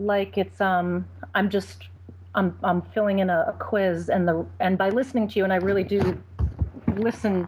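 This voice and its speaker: A woman speaks at a moderate pace. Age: 30s. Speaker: caller. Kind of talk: personal call-in conversation. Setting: Skype call. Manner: halting.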